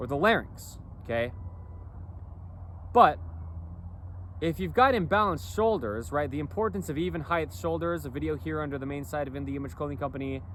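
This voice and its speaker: With vocal fry and very wide pitch swings around a medium pitch, a man talks at a fairly quick pace with long, frequent pauses, in audible room echo. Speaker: clothing company founder, vlogger. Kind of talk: casual monologue vlog. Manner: rambling, repetitive with fillers.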